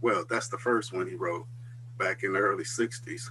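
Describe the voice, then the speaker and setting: A man speaks with an American accent at a medium pitch. He keeps a moderate pace and ordinary pitch variation over noticeable background noise. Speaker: religious school dean. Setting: video call.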